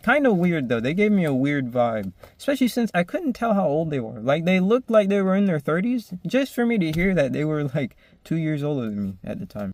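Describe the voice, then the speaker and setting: Speaking at a fairly quick pace, a man with a high pitch moves through very wide pitch swings. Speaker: vlogger. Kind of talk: casual storytelling vlog.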